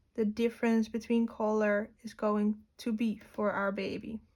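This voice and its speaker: A woman with a non-native accent talks at a very slow pace, her fairly high voice held in a flat monotone. The recording is very clean, with a silent background. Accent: non-native English speaker. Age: 20s. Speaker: art teacher. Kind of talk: tutorial.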